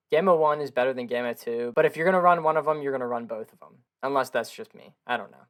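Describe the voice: Speaking fast, a man with a medium pitch has a clear, smooth tone and ordinary pitch variation.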